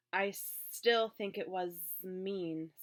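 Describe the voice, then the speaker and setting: A female-sounding, medium-pitched put-on character voice comes with hissing. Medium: read story.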